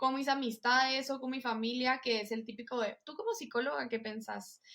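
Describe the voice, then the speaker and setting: Fairly even intonation from a high-pitched woman, at a moderate pace. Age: 20s. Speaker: psychologist and pilates instructor. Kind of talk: casual interview.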